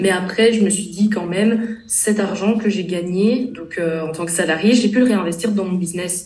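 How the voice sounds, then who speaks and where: Over noticeable background noise, a woman speaks at a moderate pace with fairly even intonation and hardly any pauses. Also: medium pitch for a woman. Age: 20s. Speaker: content creator and coach. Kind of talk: casual interview.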